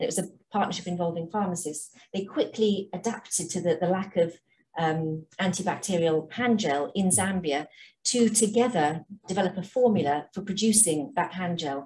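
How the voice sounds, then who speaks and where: A woman with an English accent, somewhat breathy, dark and mellow in tone. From England. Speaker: health charity programme director. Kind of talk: conference presentation.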